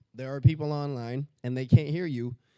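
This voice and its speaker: A man's medium-pitched, dark, mellow voice at a moderate pace, with fairly even intonation. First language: not English. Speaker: event emcee. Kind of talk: event announcements. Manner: casual, halting with fillers.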